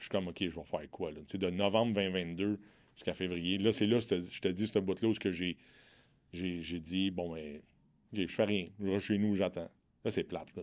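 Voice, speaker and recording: A man with a Quebec accent talks at a moderate pace, his pitch very deep and low. His intonation is fairly even, broken by long, frequent pauses. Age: 40s. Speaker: entrepreneur. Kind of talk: casual interview. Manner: frank, outspoken.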